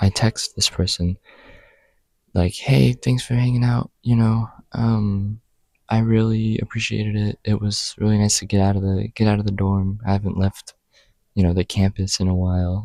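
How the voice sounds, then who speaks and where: A soft-spoken man with a fairly low pitch talks with a dry, close sound with no echo. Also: fairly even intonation, moderate pace. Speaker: student vlogger. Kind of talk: casual vlog monologue. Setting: study hall. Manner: casual with many fillers. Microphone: new microphone.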